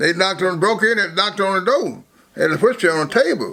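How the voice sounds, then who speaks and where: Moving at a moderate pace, a man speaks in a high, bright, sharp voice with ordinary pitch variation. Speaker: former bootlegger. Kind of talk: life story interview. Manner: halting, repetitive.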